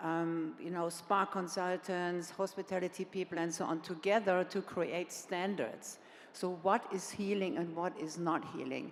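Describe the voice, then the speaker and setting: A woman speaks with a German accent at a fairly slow pace. Her intonation stays fairly even. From Germany. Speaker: hospitality brand founder. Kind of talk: panel discussion.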